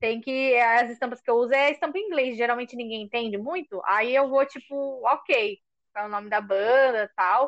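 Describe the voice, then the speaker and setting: A woman speaks at a moderate pace in a coastal São Paulo accent. Her high pitch shows ordinary variation against a quiet background. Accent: coastal São Paulo (caiçara). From São Paulo coast (caiçara). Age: 20s. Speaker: podcast co-host, schoolteacher. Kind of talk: casual chat.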